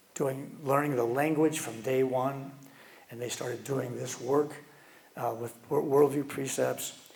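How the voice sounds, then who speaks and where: Delivered at a fairly slow pace in a monotone, flat way, the speech has big swings in loudness and audible room echo. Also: man. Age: 70s. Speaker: guest speaker, educator. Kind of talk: conference talk. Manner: halting, many repeated words.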